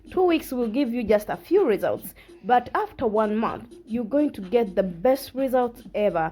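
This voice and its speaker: With a non-native accent, a woman speaks at a moderate pace in a high voice and lively intonation. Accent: non-native English, self-described imperfect. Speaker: fitness vlogger. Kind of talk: workout tutorial. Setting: at home. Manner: halting, frequent self-corrections; casual, encouraging.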